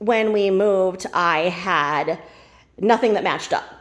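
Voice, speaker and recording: A woman of medium pitch speaks with ordinary pitch variation over noticeable background noise. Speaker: Tupperware consultant. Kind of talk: casual talk to camera.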